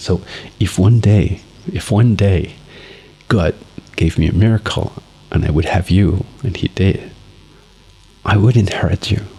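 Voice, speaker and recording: A man's very deep, low voice at a fairly slow pace, with ordinary pitch variation and noticeable background noise. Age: 40s. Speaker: father vlogging for his son. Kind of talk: personal video diary.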